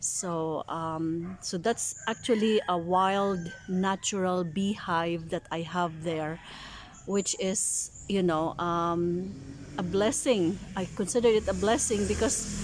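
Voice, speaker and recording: Over light background noise, a woman speaks at a very slow pace with ordinary pitch variation, the sound dry with no echo. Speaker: home vlogger. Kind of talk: casual vlog chat. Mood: calm, musing. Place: garden. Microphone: phone near.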